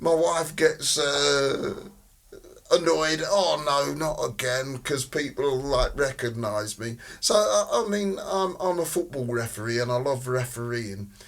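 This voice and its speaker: A man talks fairly slowly, his voice fairly high and his intonation lively, while noticeable noise sits in the background. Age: 60s. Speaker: social worker and football referee. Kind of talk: podcast interview.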